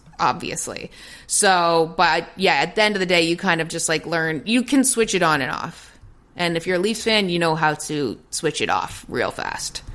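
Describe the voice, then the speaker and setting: An ordinary speaking voice with a Canadian accent, moderate in pace and ordinary in pitch variation, in a very clean recording with a silent background. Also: woman, fairly low pitch for a woman. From Toronto, Canada. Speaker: sports broadcaster. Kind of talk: casual chat.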